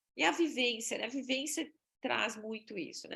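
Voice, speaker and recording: Speaking with a Brazilian accent at a moderate pace, a woman swings her pitch very widely. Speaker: exchange agency presenter. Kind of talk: webinar presentation.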